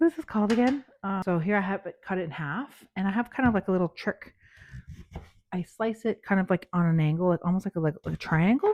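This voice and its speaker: Very fast speech from a woman at a medium pitch, lively in intonation, dry and close with no echo. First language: not English. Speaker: cooking channel host. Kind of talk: cooking tutorial. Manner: casual, chatty.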